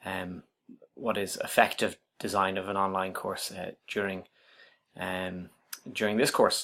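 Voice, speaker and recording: Speaking at a fairly low pitch with a slight Irish accent, a man delivers flat, monotone lines at a fairly slow pace, with long, frequent pauses and a bright, sharp tone. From Ireland, Dublin. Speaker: university writing lecturer. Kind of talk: self-introduction video. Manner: hesitant, many fillers.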